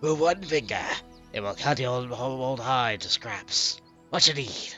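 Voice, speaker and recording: Someone uses a put-on character voice with clear music in the background. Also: man, medium pitch for a man, fairly slow pace. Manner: menacing, threatening.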